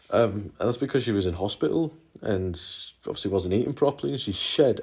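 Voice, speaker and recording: A man with a northeast England accent, dark, mellow tone, somewhat breathy, medium pitch, fairly quick pace, very clean recording with a silent background. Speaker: YouTuber, former prison volunteer. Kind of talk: casual vlog monologue. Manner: hesitant, many fillers and repetitions.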